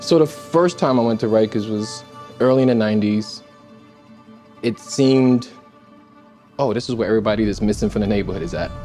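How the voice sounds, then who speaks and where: A man with a medium-pitched voice speaks fairly quickly with ordinary pitch variation and long, frequent pauses. Music plays in the background. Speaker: solitary confinement survivor. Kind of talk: documentary narration.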